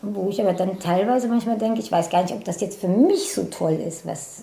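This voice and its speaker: A woman talks at a medium pitch with ordinary pitch variation. Audible room echo and noticeable background noise surround her voice. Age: 50s. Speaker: personal training client. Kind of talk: casual interview.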